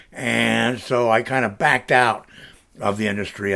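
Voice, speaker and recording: A man with an American accent speaks in a bright, sharp tone that stays relaxed. The recording is very clean, with a silent background. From US South, Central Florida. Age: 60s. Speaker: vlogger, retired video producer. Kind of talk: casual personal vlog. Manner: relaxed, with many fillers.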